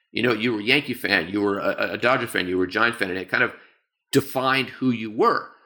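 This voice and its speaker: Bright and sharp in tone, a man with an American accent talks at a very fast pace with ordinary pitch variation on a very clean recording with a silent background. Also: medium pitch for a man. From San Francisco, US West Coast. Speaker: professor and writer. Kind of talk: interview.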